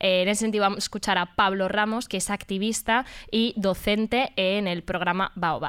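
With an unremarkable speaking voice, a woman of medium pitch talks at a moderate pace with fairly even intonation, captured in a very clean recording with a silent background. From Madrid, Spain. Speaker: radio host. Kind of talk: casual chat.

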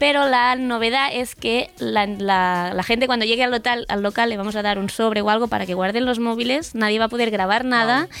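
With hardly any pauses, a plain, everyday voice moves at a fairly quick pace with fairly even intonation on a very clean recording with a silent background. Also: woman, fairly high pitch for a woman. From Catalonia. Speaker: stand-up comedian. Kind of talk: casual chat.

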